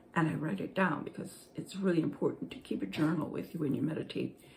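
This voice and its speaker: The speaker has vocal fry and keeps a moderate pace. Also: woman. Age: 60s. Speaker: spiritual blogger. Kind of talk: casual talk. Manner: halting.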